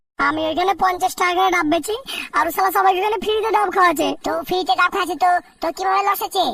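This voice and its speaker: This is a cartoonish character voice at an extremely high pitch. It races along at a very fast pace. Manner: loud, rough-spoken.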